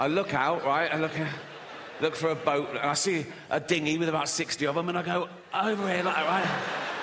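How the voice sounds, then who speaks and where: Noticeable background noise fills the clip while a man speaks fairly quickly. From England. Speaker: stand-up comedian. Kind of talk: stand-up comedy performance. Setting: live stage with audience.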